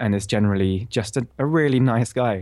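The speaker is a man. He has a British accent. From Bristol, England. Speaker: composer. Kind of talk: casual interview.

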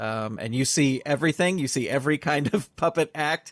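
Recorded with a dry, close sound and no echo. A man speaks at a fairly high pitch. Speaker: podcast host. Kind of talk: casual interview chat.

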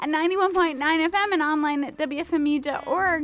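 Noticeable background noise sits behind a woman's voice. She speaks in a high pitch with an upbeat tone. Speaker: radio host. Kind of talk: radio dj patter, live pledge-drive show banter. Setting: radio studio with a co-host during a fundraising marathon. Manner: relaxed, chatty, friendly; upbeat, improvised, giving phone numbers and station IDs.

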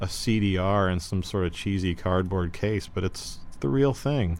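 A man with an ordinary speaking voice and fairly low pitch speaks at a moderate pace with ordinary pitch variation. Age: 40s. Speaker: musician and guest DJ. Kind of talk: casual chat.

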